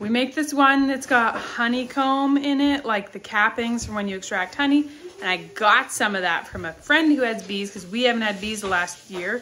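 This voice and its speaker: Against light background noise, a woman speaks at a moderate pace with ordinary pitch variation and hardly any pauses. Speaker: homesteading vlogger. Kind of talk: casual vlog chat. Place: kitchen. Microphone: phone near.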